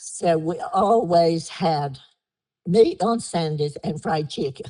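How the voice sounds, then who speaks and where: Dark and mellow in tone, a woman with an American accent speaks at a very slow pace and a fairly low pitch with ordinary pitch variation. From Down East North Carolina, Harkers Island area. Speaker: oral history interviewee. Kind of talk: oral history interview.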